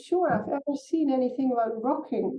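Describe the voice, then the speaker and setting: A woman talks at a fairly quick pace. Her pitch is high, with ordinary variation. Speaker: somatics and spirituality teacher. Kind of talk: casual chat.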